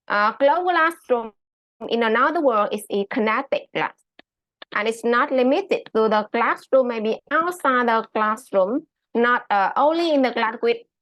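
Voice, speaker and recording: A woman speaks with a Vietnamese accent at a fairly high pitch. Her intonation is lively and her pace fairly slow. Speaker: high school English teacher. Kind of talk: conference presentation. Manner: halting, many fillers.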